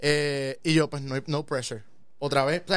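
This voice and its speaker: A man with a Puerto Rican accent at a fairly slow pace, in a very clean recording with a silent background. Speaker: physician. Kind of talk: casual interview. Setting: studio.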